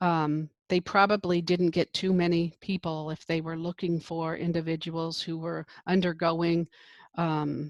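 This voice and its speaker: A woman speaks at a fairly slow pace in a fairly low pitch, her intonation flat and monotone. The sound is dry and close, with no echo. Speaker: nursing professor. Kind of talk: lecture. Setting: video call. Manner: casual, filler-heavy.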